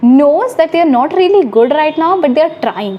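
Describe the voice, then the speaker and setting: Speaking at a fairly quick pace in an Indian accent, a woman with a high pitch swings her pitch very widely over noticeable background noise. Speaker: YouTuber. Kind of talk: vlog advice talk. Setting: hostel room, self-recorded. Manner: fast.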